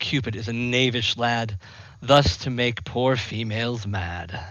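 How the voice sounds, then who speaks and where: Putting on a character voice at a medium pitch, a man speaks at a fairly slow pace. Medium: game stream. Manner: playful, giggling.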